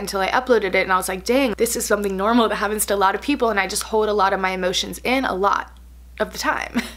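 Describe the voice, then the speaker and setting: Talking at a very fast pace, a woman with a medium pitch sounds animated. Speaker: beauty and lifestyle vlogger. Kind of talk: casual vlog chat.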